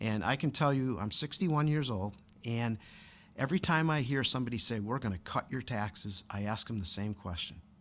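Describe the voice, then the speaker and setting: Recorded very cleanly against a silent background, a man with an American accent speaks at a fairly quick pace. His medium pitch and lively intonation mark an unremarkable speaking voice. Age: 60s. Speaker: city council candidate. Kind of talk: interview.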